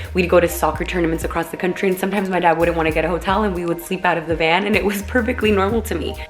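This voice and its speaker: With music in the background, a woman with a Californian accent races along at a very fast pace in a fairly low pitch, sounding animated and hardly pausing at all. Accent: Californian American English. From Los Angeles, California. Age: 20s. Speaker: vlogger. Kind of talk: personal vlog monologue. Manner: casual, animated.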